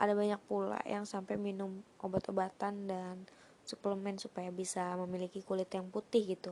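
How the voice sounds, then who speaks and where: Monotone, flat intonation from a woman at a moderate pace. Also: medium pitch for a woman. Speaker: podcast host. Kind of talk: casual solo podcast talk.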